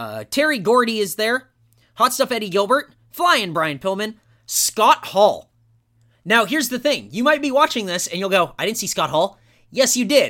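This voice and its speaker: At a moderate pace, the speaker uses a raised, projected voice with a bright, sharp, animated tone and lively intonation, captured on a very clean recording with a silent background. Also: man, high pitch for a man. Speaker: podcast host and wrestling fan. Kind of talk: wrestling promo, a loud mock-Southern rant played for laughs. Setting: studio podcast. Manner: sarcastic, exaggerated.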